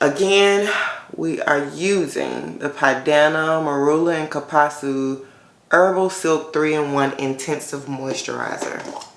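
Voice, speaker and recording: A woman talks at a fairly slow pace with a very deep, low pitch and fairly even intonation. Audible room echo surrounds her voice. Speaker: natural hair YouTuber. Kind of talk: hair tutorial. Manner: casual, conversational with fillers.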